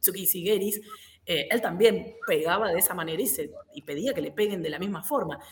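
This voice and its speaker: Speaking at a moderate pace and medium pitch, a woman with an unremarkable speaking voice uses lively intonation. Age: 40s. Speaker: karate instructor. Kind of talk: casual chat.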